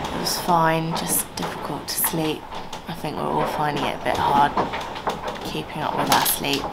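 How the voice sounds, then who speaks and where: Loud background noise runs through the clip. The speech moves at a moderate pace. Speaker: sailing vlogger. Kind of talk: casual vlog chat.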